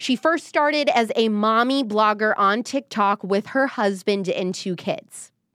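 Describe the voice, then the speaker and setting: Recorded dry and close with no echo, very clean against a silent background, a woman with an American accent speaks in an animated tone at a fairly slow pace, with a fairly high pitch and ordinary pitch variation. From US Midwest. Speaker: political commentator and podcast host. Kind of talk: casual live-stream commentary.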